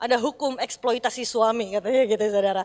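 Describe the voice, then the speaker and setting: The voice belongs to a woman. She speaks at a fairly quick pace. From Indonesia, Bandung (West Java, Sundanese). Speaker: pastor. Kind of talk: sermon.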